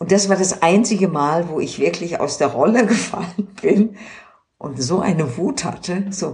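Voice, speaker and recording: In a plain, everyday voice, a woman with a medium pitch speaks at a fairly slow pace with lively intonation. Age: 60s. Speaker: doctor in human rights committee. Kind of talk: casual chat. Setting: at home in her apartment.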